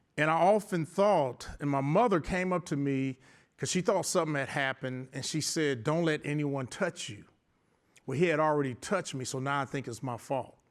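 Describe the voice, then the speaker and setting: Over a very clean recording with a silent background, a man with an American accent speaks in an unremarkable speaking voice, fairly high in pitch, at a moderate pace with ordinary pitch variation. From US Midwest, south side of Chicago. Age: 60s. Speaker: architect and business owner, abuse survivor speaker. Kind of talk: motivational talk.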